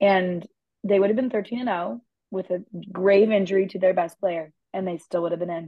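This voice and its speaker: A woman with a plain, everyday voice talks at a fairly quick pace and medium pitch, showing ordinary pitch variation. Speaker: podcast co-host and mental health student. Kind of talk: casual sports chat.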